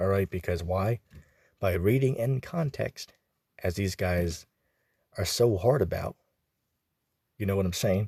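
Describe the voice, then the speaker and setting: In a very clean recording with a silent background and a dry, close sound with no echo, a man with a fairly low, somewhat breathy voice and a dark, mellow tone speaks with ordinary pitch variation and long, frequent pauses. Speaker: religious commentator. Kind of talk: casual religious commentary. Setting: out and about. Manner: informal, many filler words.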